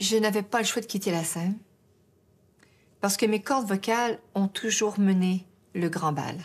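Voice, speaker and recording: Long, frequent pauses mark this woman's fairly slow speech, pitched at a medium level. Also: ordinary pitch variation. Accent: Quebec. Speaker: singer. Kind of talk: interview answer. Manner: hesitant, emotional.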